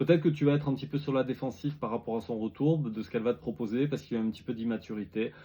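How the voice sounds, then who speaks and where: A man with a medium-pitched, dark, mellow tone talks at a very fast pace with ordinary pitch variation. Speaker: tarot reader. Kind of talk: tarot reading video. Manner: halting, repetitive.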